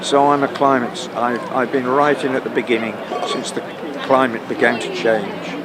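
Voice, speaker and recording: There is audible room echo and noticeable background noise around a man's voice. He talks at a moderate pace with fairly even intonation. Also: medium pitch for a man. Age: 70s. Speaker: retired environmental scientist. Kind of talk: street interview. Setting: outdoors in a park. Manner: halting, many repetitions.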